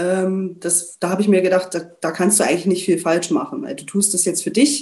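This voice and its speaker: With a dark, mellow tone, this woman's voice sits at a medium pitch. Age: 30s. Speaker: coaching client, HR department head. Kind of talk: interview testimony.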